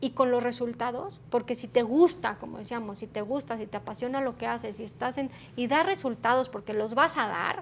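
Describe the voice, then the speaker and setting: Noticeable background noise sits behind fairly quick speech with hardly any pauses. The intonation is lively, and the loudness swings widely. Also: woman, high pitch for a woman. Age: 40s. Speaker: human resources executive. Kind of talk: interview.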